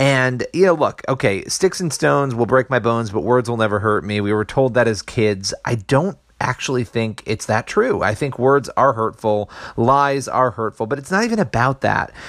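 Lively intonation at a moderate pace, with hardly any pauses. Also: man, medium pitch for a man. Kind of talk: impassioned rant / sermon-like commentary. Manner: emphatic, indignant, pleading for unity.

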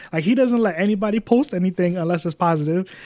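At a very fast pace, a man talks with a high pitch. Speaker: podcast guest, gaming podcaster. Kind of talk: casual chat.

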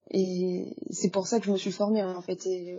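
A somewhat breathy woman at medium pitch with monotone, flat intonation. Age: 20s. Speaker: freelance graphic designer. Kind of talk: casual interview. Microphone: poor sound quality.

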